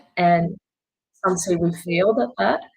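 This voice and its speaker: A woman speaks in a somewhat breathy voice. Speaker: journalist. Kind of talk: webinar presentation.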